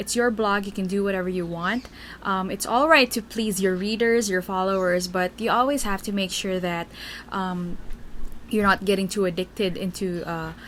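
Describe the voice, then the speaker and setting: A woman talks with a Filipino accent. Her pitch is medium. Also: ordinary pitch variation, moderate pace. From Philippines. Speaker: Tumblr writer and vlogger. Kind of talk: casual Q&A vlog. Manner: hesitant, many fillers.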